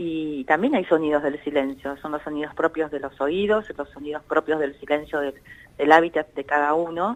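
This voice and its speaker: Speaking at a moderate pace, a woman with a very deep, low pitch keeps fairly even intonation while her loudness swings widely. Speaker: psychologist, director of an anxiety disorders center. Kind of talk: radio interview answer, explanatory.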